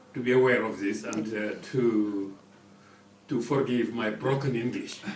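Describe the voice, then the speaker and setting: Fairly slow speech with fairly even intonation, plus noticeable background noise and audible room echo. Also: man, medium pitch for a man. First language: French. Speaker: ambassador. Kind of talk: radio interview. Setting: studio. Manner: halting.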